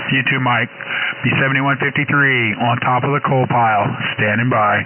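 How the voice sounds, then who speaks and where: Amid noticeable background noise, a man talks with monotone, flat intonation. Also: medium pitch for a man, moderate pace, very even loudness. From West Virginia. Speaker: ham radio operator. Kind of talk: casual chat. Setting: radio transmission.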